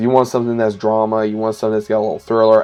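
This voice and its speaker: A man speaks at a medium pitch with an American accent. Noticeable background noise is present. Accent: Southern US, noticeable at times. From US South. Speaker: YouTuber, TV show reviewer. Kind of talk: casual video review. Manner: casual, with filler words and self-corrections.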